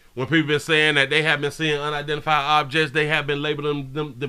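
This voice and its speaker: A man speaks at a fairly high pitch in a bright, sharp tone. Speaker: live-stream news commentator. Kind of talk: casual live-stream commentary. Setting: live stream. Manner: loud; animated.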